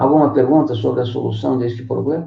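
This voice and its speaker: Vocal fry marks this man's voice, with ordinary pitch variation. He talks at a moderate pace amid audible room echo. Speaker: math teacher. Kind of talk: online lecture.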